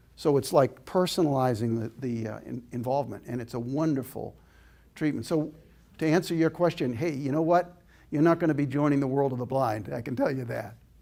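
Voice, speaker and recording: With a slight Boston accent, a man speaks at a fairly quick pace in a dark, mellow tone of medium pitch and ordinary pitch variation. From Boston, Massachusetts. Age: 70s. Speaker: inspirational speaker. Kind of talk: public lecture with audience Q&A. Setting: stage with audience. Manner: animated.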